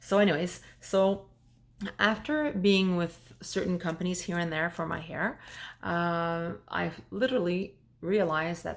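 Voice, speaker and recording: In a French accent, a woman speaks at a fairly slow pace with a fairly low pitch, on a very clean recording with a silent background. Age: 40s. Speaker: vlogger. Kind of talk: personal testimony vlog. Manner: halting, with fillers.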